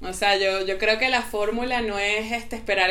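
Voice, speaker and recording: Audible room echo surrounds a woman's bright, sharp voice, fairly high in pitch and fairly quick in pace. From Venezuela. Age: young. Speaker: psychotherapist. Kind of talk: casual chat. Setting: remote call.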